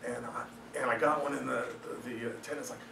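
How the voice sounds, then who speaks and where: There's audible room echo and noticeable background noise as this man talks very fast. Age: 50s. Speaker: juggler and entertainer giving a business talk. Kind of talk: meetup presentation talk. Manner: casual, joking, with frequent fillers.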